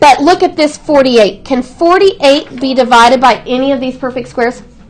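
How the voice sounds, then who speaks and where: A woman speaks loudly at a high pitch and a fairly quick pace. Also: lively intonation. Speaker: math teacher. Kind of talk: classroom lesson. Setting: classroom. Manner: projecting voice.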